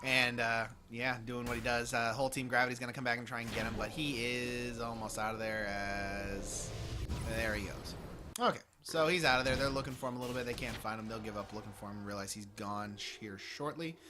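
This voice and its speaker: With audible room echo, a man talks fairly quickly in a fairly even intonation. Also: medium pitch for a man. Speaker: esports caster. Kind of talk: live commentary. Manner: fast.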